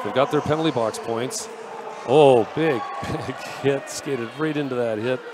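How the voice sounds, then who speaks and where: A man talks with a fairly high pitch and ordinary variation while noticeable background noise is present. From Canada, Vancouver. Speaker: sports commentator. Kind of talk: live commentary. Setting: arena, live event. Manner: animated.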